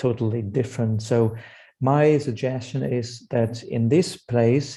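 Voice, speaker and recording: Speaking at a moderate pace with a German accent, a man has a medium-pitched, somewhat breathy voice, a dark, mellow tone and fairly even intonation. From Germany. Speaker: psychosocial hospital provider CEO. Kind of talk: webinar discussion.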